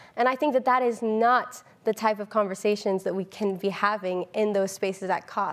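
A woman with an American accent talks at a moderate pace with fairly even intonation and hardly any pauses. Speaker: climate activist; panelist. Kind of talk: panel discussion. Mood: earnest, engaged. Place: stage. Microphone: lapel.

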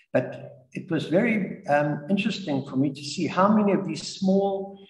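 A man speaks with a high pitch. There is audible room echo over a quiet background. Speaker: guest. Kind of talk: talk or interview answer. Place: home room. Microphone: video call.

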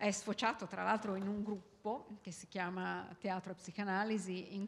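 A woman speaks over light background noise. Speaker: event moderator. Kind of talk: introductory speech to audience. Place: hall. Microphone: handheld.

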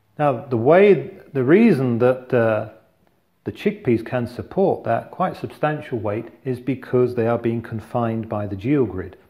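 A man's somewhat breathy, dark, mellow voice at a moderate pace. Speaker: engineer demonstrating. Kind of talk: tutorial. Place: kitchen. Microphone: lapel.

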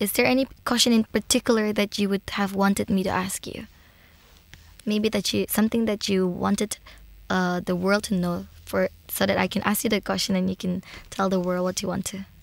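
This is an ordinary speaking voice with fairly even intonation, captured on a very clean recording with a silent background. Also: woman, medium pitch for a woman, fairly quick pace, dry, close sound with no echo. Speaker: podcast host. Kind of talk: interview. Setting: in-person studio interview. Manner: warm and effusive.

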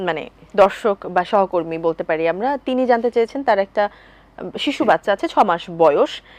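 A woman's plain, everyday voice at a medium pitch, lively in intonation, with a dry, close sound and no echo. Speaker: TV presenter. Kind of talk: TV lifestyle talk show hosting. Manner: formal.

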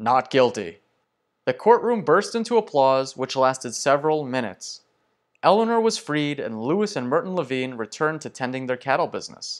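With a dramatic tone, a man's fairly high voice swings very widely in pitch. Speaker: true-crime history storyteller. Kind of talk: true-crime narration. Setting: online video, solo. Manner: dramatic, measured storytelling pace with suspenseful tone; conversational, addressing viewers directly.

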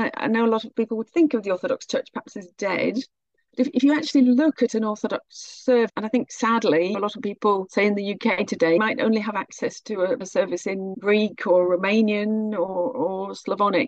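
A woman with a British accent talks at a fairly quick pace with hardly any pauses, her pitch fairly high and ordinary in variation. The sound is dry and close, with no echo. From Britain. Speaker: researcher of Orthodox mission. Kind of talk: podcast interview answer.

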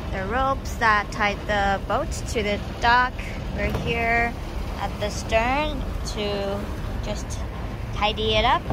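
A woman at a very slow pace with long, frequent pauses, over noticeable background noise. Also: dry sound with no echo. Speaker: boat owner vlogger. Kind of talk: casual vlog narration. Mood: cheerful, excited. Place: boat. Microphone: phone near.

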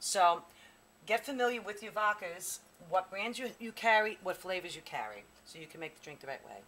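Against light background noise, a woman talks very fast with ordinary pitch variation. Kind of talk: tutorial. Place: bar. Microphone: camera far.

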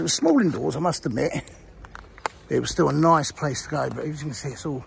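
Ordinary pitch variation marks a man's fairly quick speech, recorded dry with no echo over light background noise. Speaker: video blogger exploring a site. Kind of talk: casual vlog chat. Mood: nostalgic. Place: street. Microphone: phone near.

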